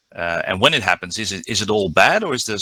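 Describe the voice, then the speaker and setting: With a Dutch accent, a man talks at a fairly quick pace in a fairly low pitch with ordinary pitch variation and a bright, sharp tone, the sound dry and close with no echo. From Netherlands. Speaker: diving instructor. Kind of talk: conference presentation. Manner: halting, many fillers.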